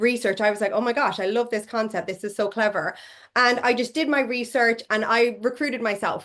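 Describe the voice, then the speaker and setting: In an Irish accent, a woman talks at a fairly quick pace, her fairly high pitch varying in an ordinary way over a quiet background. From Ireland. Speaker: network marketing leader, former physiotherapist. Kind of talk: interview.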